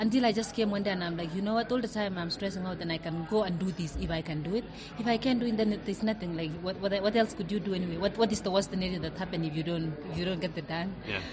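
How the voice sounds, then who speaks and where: A woman talks at a very fast pace with hardly any pauses. Her medium pitch shows ordinary variation, and there is noticeable background noise. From Kenya. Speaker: elite distance runner. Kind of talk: interview. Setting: restaurant, recorded live.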